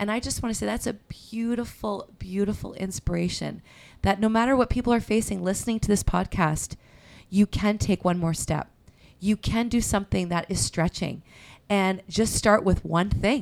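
In a very clean recording with a silent background, a woman with a medium pitch speaks at a moderate pace in a warm, animated tone. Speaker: pastor and podcast host. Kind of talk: casual chat, interview.

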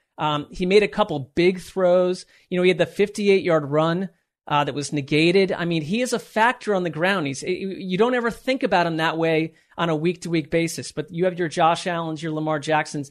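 Against a quiet background, a man with an American accent talks at a moderate pace, his high pitch showing ordinary variation. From Connecticut. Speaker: sports podcast co-host. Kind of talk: casual chat.

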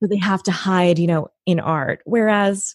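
A woman with an American accent speaks in a normal speaking voice at a moderate pace, her fairly low pitch showing ordinary pitch variation, on a very clean recording with a silent background and a dry, close sound with no echo. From US Pacific Northwest, Washington State near Tacoma. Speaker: actress, writer and voice teacher. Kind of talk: casual interview.

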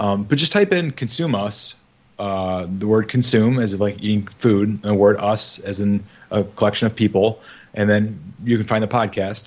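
This speaker has a Midwestern American accent and keeps a moderate pace. The intonation stays fairly even. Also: man, fairly low pitch for a man. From US Midwest. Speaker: podcast co-host. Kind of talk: casual chat.

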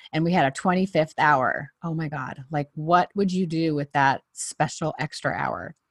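Against a quiet background, a woman with a fairly low pitch speaks in an animated tone at a moderate pace. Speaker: podcast host. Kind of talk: casual interview.

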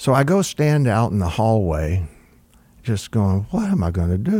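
With an American accent, a man of medium pitch speaks at a fairly slow pace in a dark, mellow tone. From Florida. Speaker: music producer and record executive. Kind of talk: interview storytelling. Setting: studio. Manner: halting, many fillers.

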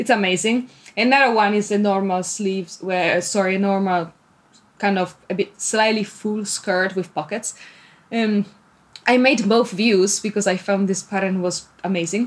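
With an Italian accent, a woman speaks at a moderate pace and a medium pitch, keeping her intonation fairly even. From Italy. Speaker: PhD student and sewing blogger. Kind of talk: casual interview. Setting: remote call.

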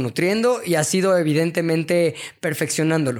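A man speaks at a fairly quick pace in a high voice, on a very clean recording with a silent background. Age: 40s. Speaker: media entrepreneur and creative director. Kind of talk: casual interview chat.

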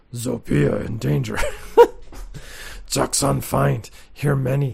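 A man uses a put-on character voice at a medium pitch with very wide pitch swings. He speaks at a fairly slow pace. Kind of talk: broken, simple speech.

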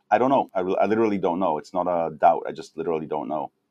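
A man speaks at a fairly low pitch with ordinary pitch variation and a dark, mellow tone. The sound is dry and close with no echo, over a quiet background. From Israel. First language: Hebrew. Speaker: nonprofit founder. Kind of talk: interview.

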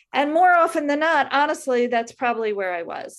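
In a New York accent, a woman speaks at a moderate pace with lively intonation on a very clean recording with a silent background. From US Northeast, Brooklyn. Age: 50s. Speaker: writer and blogger. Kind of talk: reading aloud; casual interview.

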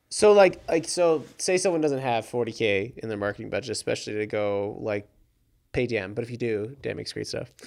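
An ordinary speaking voice, a man's, moves at a fairly quick pace with lively intonation. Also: medium pitch for a man. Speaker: podcast host. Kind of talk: casual interview chat. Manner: playful, jokey.

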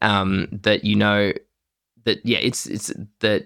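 A man talks with an Australian accent at a fairly low pitch. The recording is very clean with a silent background. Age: 30s. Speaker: podcast co-host. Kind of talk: casual chat. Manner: halting, many fillers.

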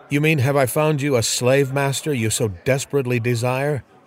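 Reading aloud in a natural voice, the speaker keeps fairly even intonation.

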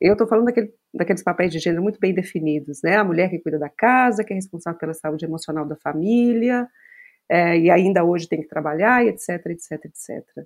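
A woman with an ordinary speaking voice talks at a fairly low pitch and a fairly quick pace with ordinary pitch variation, on a very clean recording with a silent background. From Brazil, Minas Gerais (Belo Horizonte). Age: 40s. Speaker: psychologist. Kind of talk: casual chat.

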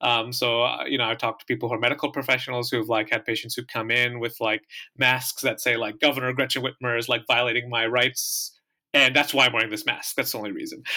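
Very fast and flat in a monotone, a man with an American accent speaks at medium pitch in a bright, sharp tone. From US Midwest, southeast Michigan. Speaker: podcast host. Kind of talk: interview conversation.

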